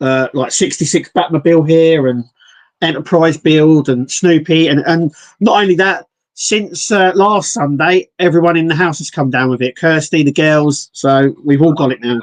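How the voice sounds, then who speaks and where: This man speaks with an English accent. His pitch is fairly high. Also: ordinary pitch variation, moderate pace, dry, close sound with no echo. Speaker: scale model reviewer. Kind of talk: casual chat.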